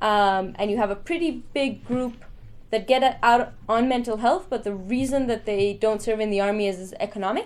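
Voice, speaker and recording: Her fairly high pitch and ordinary pitch variation come through as a woman speaks at a moderate pace with an Israeli accent. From Israel, Jerusalem. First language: Hebrew. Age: 20s. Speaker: conscientious objector and activist. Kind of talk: talk with Q&A.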